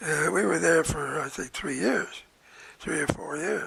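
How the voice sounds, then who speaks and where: With noticeable noise behind him, a man speaks fairly slowly. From Nova Scotia, Canada. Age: 80s+. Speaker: retired psychiatrist. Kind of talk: interview answer.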